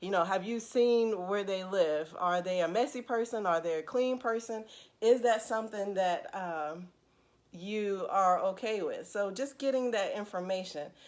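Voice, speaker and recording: In a very clean recording with a silent background, a woman with an unremarkable speaking voice talks fairly slowly at a medium pitch with ordinary pitch variation. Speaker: counselor. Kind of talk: casual live stream talk to viewers.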